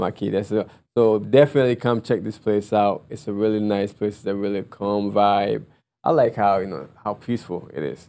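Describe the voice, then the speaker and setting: A man talks at a fairly low pitch in a dark, mellow tone. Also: ordinary pitch variation, moderate pace. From Ghana. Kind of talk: interview.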